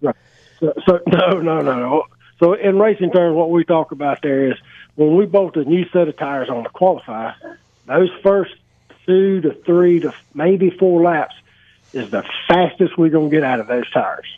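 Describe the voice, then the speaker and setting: A man with a high-pitched voice speaks at a moderate pace, leaving long, frequent pauses. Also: ordinary pitch variation. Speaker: racing co-host. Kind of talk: live radio show chat.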